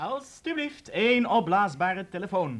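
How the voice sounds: A man puts on a character voice, high in pitch with a fairly bright tone. He speaks at a fairly slow pace with big pitch swings.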